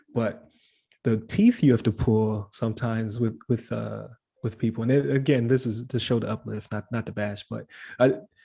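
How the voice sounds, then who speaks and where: A man's somewhat breathy voice with a dark, mellow tone, medium in pitch, speaking at a moderate pace with fairly even intonation. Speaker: podcast host. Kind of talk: casual interview chat. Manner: halting, many fillers and restarts.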